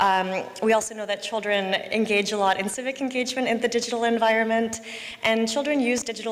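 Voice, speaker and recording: Over noticeable background noise and audible room echo, a woman speaks fairly quickly in a fairly high voice with fairly even intonation. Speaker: policy researcher presenting at a conference. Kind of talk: conference presentation. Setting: conference hall with simultaneous interpretation. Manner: fast.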